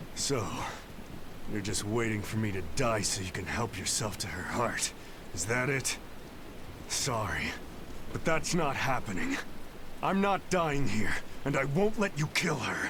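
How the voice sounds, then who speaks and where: A man puts on a character voice at a medium pitch, moving at a moderate pace with long, frequent pauses. Loud background noise runs behind him. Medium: video game. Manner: brash, irreverent.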